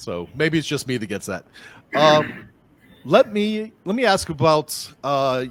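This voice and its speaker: Very slowly and with long, frequent pauses, a man with a Boston accent speaks at a fairly high pitch with very wide pitch swings, on a very clean recording with a silent background. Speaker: podcast host, app agency owner. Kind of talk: casual interview. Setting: call.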